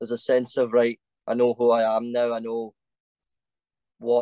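A man speaks with a Glasgow accent. The sound is dry and close, with no echo. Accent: Scottish (Glasgow area). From Scotland, Paisley. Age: 20s. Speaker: cosplayer. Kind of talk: casual chat.

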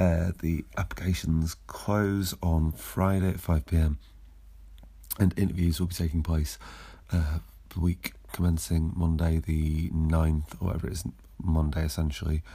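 On a very clean recording with a silent background, a man with a very deep, low pitch speaks in a dark, mellow, somewhat breathy voice with fairly even intonation. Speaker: football club podcast host. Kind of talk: solo podcast recap of a match. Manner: slow, hesitant, filler-heavy.

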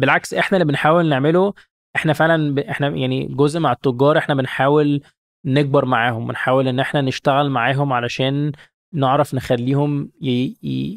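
With an ordinary speaking voice, a man speaks at a moderate pace, his fairly high pitch held in fairly even intonation. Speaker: startup founder and CEO. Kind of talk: interview, casual business chat. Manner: frequent fillers, code-switching English and Arabic.

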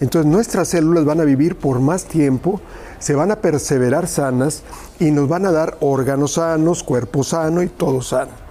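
Background noise comes through noticeably. The delivery holds a moderate pace. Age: 50s. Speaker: nutrition and cooking presenter. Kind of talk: sales pitch. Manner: animated.

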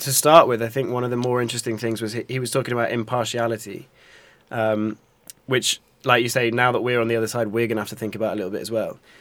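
A man with a London accent at medium pitch, very fast and monotone, on a very clean recording with a silent background. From North London. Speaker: journalism student podcast host. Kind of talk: casual chat.

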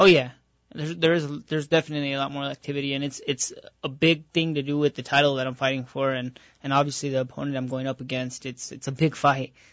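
This man's voice sits fairly high and moves very fast. His intonation stays fairly even. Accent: New Mexico. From Albuquerque, New Mexico. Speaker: professional boxer. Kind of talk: radio interview. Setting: radio studio.

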